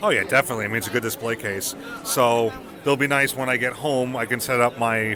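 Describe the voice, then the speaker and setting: A man's medium-pitched voice at a very fast pace, fairly even in intonation, over noticeable background noise. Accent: American. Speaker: podcast host. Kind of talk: casual chat. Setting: busy expo floor.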